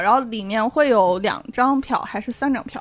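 There is noticeable background noise as a woman speaks with lively intonation. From Xi'an, Shaanxi, China. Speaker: theatre venue staff, podcast guest. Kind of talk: casual chat.

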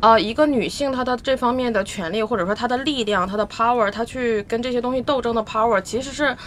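A woman speaks with ordinary pitch variation. It is a normal speaking voice. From Northeast China. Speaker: podcast guest. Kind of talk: casual chat.

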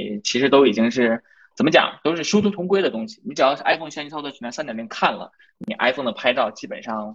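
Very fast speech with lively intonation comes in a slight Northeastern Chinese accent. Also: man. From Inner Mongolia, near Northeast China. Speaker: photography blogger. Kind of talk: live-stream conversation.

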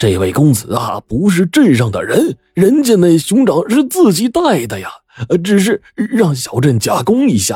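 In a put-on character voice, a man speaks at a moderate pace with a fairly high pitch and very wide pitch swings. His tone is slightly mellow with a husky, rough edge, and the sound is dry and close with no echo.

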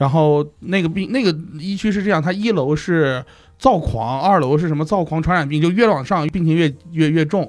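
A man with a normal speaking voice, fairly high-pitched, ordinary pitch variation, moderate pace. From Shanxi, Taiyuan. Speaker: podcast guest. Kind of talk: casual chat. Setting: studio, crowded round a small table.

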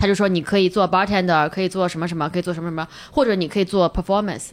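A woman's medium-pitched voice, very fast, with fairly even intonation. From China. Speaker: stand-up comedian. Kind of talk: casual chat.

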